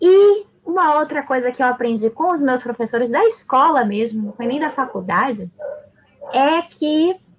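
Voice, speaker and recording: Her voice, a woman's, moves through very wide pitch swings. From Salvador, Bahia, Brazil. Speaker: teacher. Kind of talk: casual chat.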